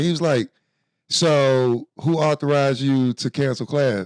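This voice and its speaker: On a very clean recording with a silent background, a man with a fairly high pitch speaks in an animated tone, the sound dry and close with no echo. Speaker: comedian podcast co-host. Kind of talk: casual chat.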